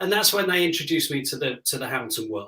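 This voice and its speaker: The man talks with a British accent. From Britain. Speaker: music director. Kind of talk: interview.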